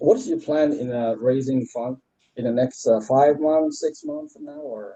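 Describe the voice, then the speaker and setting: With a slight French accent, a man speaks at a moderate pace, his loudness swinging widely. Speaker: CTO candidate. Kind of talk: job interview. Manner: halting, many fillers.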